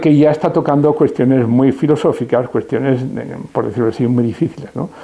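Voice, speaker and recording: A man over noticeable background noise. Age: 70s. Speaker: retired philosophy professor. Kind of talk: interview. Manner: hesitant, with many fillers.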